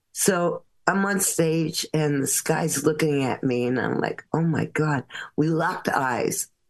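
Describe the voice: A woman with a low voice speaks at a slow pace, her pitch varying in an ordinary way.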